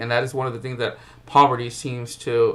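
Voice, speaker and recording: At a moderate pace, a man talks in a medium pitch with monotone, flat intonation and audible room echo. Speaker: college professor. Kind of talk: recorded lecture. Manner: halting, with fillers and restarts.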